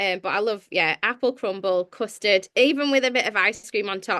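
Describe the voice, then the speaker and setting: A woman's bright, sharp tone, with lively intonation at a moderate pace. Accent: slight Sheffield. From northern England, Sheffield. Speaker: church leader and author. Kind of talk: podcast interview.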